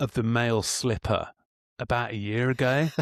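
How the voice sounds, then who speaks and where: A man with an English accent speaks at a moderate pace. The recording is very clean and dry, close, with no echo and a silent background. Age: middle-aged. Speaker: podcast co-host. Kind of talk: casual chat. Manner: animated.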